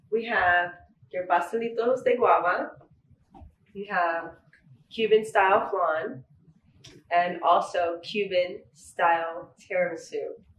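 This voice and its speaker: Woman at a very slow pace with long, frequent pauses and ordinary pitch variation, amid audible room echo. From US West Coast (San Fernando Valley, LA); California. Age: 20s. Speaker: baker and business owner; guest. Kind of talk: interview. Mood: friendly, relaxed. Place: home room.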